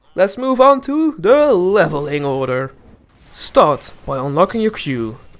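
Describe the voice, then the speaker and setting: Putting on a strained character voice, a man speaks at a fairly slow pace with very wide pitch swings. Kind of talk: instructional gaming guide. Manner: forced, artificial.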